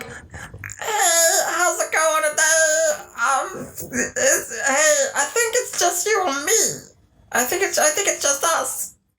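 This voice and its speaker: Someone puts on a character voice, high-pitched and very slow. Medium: actual play. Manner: casual, chatty, hesitant.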